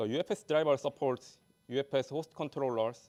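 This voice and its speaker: A man with a non-native accent at a moderate pace and ordinary pitch variation, in a very clean recording with a silent background and a dry, close sound with no echo. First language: not English. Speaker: conference speaker, software developer. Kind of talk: conference talk with Q&A. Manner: halting.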